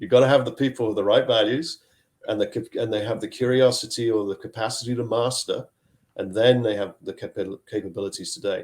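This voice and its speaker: A man speaks at a fairly quick pace, his pitch medium and his voice somewhat breathy. The recording is very clean, with a silent background. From Zambia, schooled later in Scotland. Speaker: chief technology officer. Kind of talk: podcast interview.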